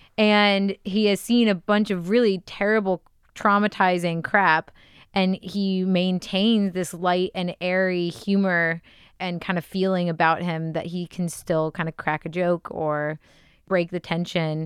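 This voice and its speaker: In an American accent, a woman speaks at a medium pitch and a fairly slow pace, with a plain, everyday voice. The sound is dry and close with no echo, over a quiet background. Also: fairly even intonation. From Texas. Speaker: podcast guest, web designer. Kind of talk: casual chat.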